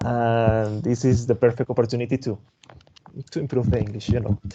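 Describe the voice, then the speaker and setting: A man with a Spanish accent talks at a medium pitch in a dark, mellow tone. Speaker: tech presenter, developer advocate. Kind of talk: webinar closing remarks. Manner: halting, repeats words.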